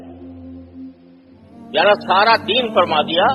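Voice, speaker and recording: With music in the background, the speech shows ordinary pitch variation. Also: man. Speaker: Islamic scholar giving a sermon. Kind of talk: Islamic sermon (bayan) on brotherhood of Muslims.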